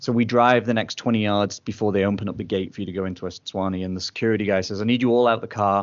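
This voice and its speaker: A man speaks very fast in an English accent, his pitch fairly low. His delivery is flat and monotone, with hardly any pauses. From England. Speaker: podcast partner, traveling dad. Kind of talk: interview storytelling.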